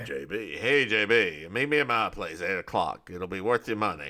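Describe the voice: Using a put-on character voice, a man sounds gruff and gravelly at a fairly low pitch and moderate pace, in a very clean recording with a silent background.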